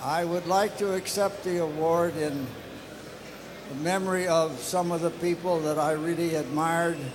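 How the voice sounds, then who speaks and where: A man with a high pitch talks at a moderate pace with fairly even intonation and very even loudness. Audible room echo and noticeable background noise fill the recording. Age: 90s. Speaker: retired air force test pilot. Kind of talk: acceptance speech. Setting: stage with audience. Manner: halting.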